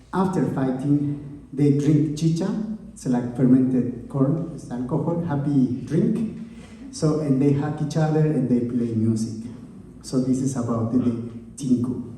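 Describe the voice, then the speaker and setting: Speaking with an Andean accent, a man uses a fairly high pitch, ordinary pitch variation, and a fairly slow pace. Noticeable background noise and audible room echo are present. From Bolivia, Oruro. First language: Quechua. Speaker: musician. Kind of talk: stage banter between songs. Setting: stage with audience. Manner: halting.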